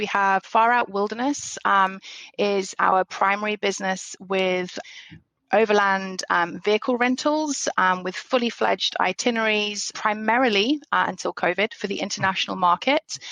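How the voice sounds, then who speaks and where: A woman talks at a moderate pace with a British accent. Her pitch sits in the medium range and varies in an ordinary way. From England. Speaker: business owner. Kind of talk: podcast interview. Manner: hesitant, many fillers.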